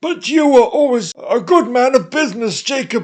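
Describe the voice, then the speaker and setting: A put-on character voice with a high pitch moves along at a moderate pace. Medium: read story. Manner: businesslike yet deferential.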